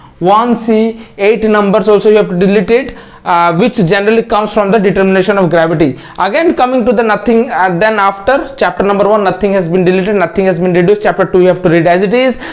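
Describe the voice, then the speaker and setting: Against noticeable background noise, a man speaks at a very fast pace in a high pitch with very even loudness. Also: ordinary pitch variation, hardly any pauses. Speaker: online tutor. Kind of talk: tutorial. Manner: halting.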